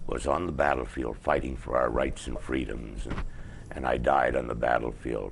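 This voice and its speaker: A man speaks at a moderate pace with a Canadian accent and ordinary pitch variation. Noticeable background noise and audible room echo come through. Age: 70s. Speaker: activist show host. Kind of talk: casual interview chat. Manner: halting.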